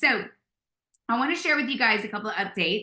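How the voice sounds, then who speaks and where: A woman talks in a Louisiana accent. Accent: Southern US (Louisiana). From US South, South Louisiana. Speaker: network marketing leader. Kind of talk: motivational video call presentation. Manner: animated.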